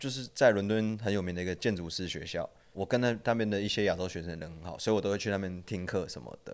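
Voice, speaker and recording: Speaking at a very fast pace with hardly any pauses, a man with a fairly low pitch shows big swings in loudness and ordinary pitch variation. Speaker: former sneaker shop worker and design student. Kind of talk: casual chat.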